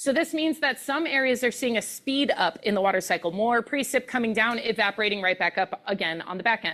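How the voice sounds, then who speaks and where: A woman at a fairly high pitch, fairly quick pace with hardly any pauses, lively intonation, and a bright, sharp tone. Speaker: meteorologist, keynote speaker. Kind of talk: presentation. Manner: fast.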